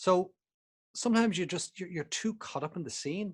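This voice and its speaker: The voice belongs to a man. His accent is Irish. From Ireland. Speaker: photography instructor. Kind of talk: online presentation. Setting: video call. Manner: casual, hesitant with fillers.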